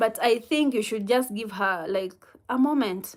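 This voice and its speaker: In a Kenyan accent, a woman speaks at a fairly slow pace and fairly high pitch on a very clean recording with a silent background. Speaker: livestreamer answering viewer comments. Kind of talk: casual live chat with viewers. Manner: halting.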